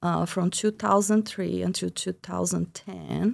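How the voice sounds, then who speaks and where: A woman speaks with a Brazilian accent. The recording is very clean, with a silent background. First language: Portuguese. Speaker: biology professor. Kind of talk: podcast interview.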